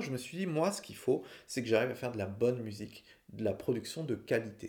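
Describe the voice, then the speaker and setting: A man speaks with a plain, everyday voice at a medium pitch. His pace is moderate and his pitch variation ordinary. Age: 40s. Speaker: singer-songwriter and podcaster. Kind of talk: personal storytelling monologue. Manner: casual, conversational.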